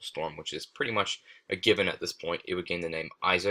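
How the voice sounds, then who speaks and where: This man's delivery is very fast. The recording is very clean, and the background is silent. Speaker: amateur weather forecaster. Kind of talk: tutorial.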